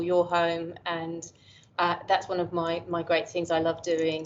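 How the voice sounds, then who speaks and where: An English accent at a moderate pace. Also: woman. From England. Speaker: professor. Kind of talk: interview conversation. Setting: call. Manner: halting.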